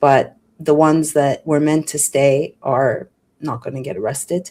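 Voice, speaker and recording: A woman speaks at a fairly slow pace. Her pitch is very deep and low. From Quebec, Montreal. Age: 50s. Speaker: former journalist and wellness coach. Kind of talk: radio interview, casual chat. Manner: animated.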